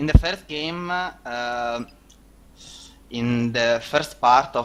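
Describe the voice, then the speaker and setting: A man talks at a very slow pace. He speaks with a non-native accent. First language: not English. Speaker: esports player. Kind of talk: casual interview. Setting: voice chat call. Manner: halting, many fillers.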